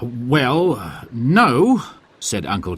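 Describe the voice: The clip is a plain reading aloud.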